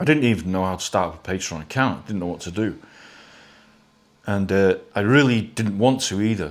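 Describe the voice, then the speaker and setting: The speech moves at a fairly quick pace yet breaks into long, frequent pauses, with big swings in loudness and ordinary pitch variation. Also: man, fairly low pitch for a man. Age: 60s. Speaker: model builder and YouTuber. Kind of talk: casual monologue to viewers. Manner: halting, many repetitions.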